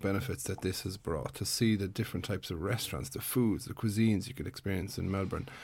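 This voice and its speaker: On a very clean recording with a silent background, a man with an Irish accent speaks at a very fast pace. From Ireland. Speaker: podcast host, PhD student. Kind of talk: interview. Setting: radio studio.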